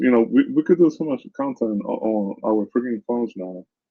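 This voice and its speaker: A man speaks with a Caribbean accent. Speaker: news commentator and content creator. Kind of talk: casual vlog commentary. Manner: halting, many repetitions and fillers.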